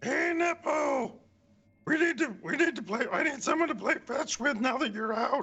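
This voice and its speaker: A man speaks in a put-on character voice pitched extremely high. His pace is moderate. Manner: playful, coaxing.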